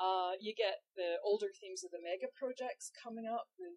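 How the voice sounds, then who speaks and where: A woman speaks in a Scottish accent. The sound is dry and close, with no echo. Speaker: history professor. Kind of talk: casual educational discussion. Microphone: poor audio in this episode.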